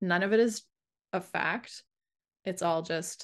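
A woman with an unremarkable speaking voice uses fairly even intonation and a fairly low pitch against a quiet background. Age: 50s. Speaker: sleep coach. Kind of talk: casual chat.

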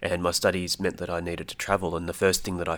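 On a very clean recording with a silent background, a speaker with an Australian accent talks in a monotone, flat intonation. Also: man. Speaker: Arabic learner, student of Middle East politics. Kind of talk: casual educational chat.

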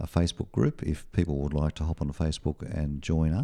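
Very deep and low in pitch with a dark, mellow tone, a man with an Australian accent speaks in a very clean recording with a silent background. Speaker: retired satellite telecommunications engineer. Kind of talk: radio interview. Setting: radio studio.

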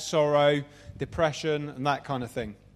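With a London accent, a man talks at a fairly quick pace and a fairly high pitch. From Southeast London, England. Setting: venue with live audience.

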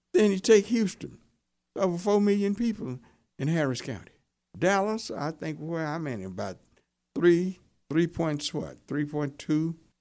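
On a very clean recording with a silent background, a man with an American accent speaks fairly slowly with a fairly high pitch, a dark, mellow tone and lively intonation. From Central Texas (small town). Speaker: pastor and radio talk show host. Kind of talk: interview.

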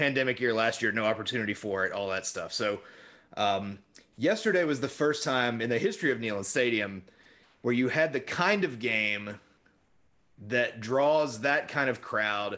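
A man's medium-pitched voice with a bright, sharp tone against a quiet background. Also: lively intonation, moderate pace. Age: 40s. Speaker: sports podcast co-host. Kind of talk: casual chat.

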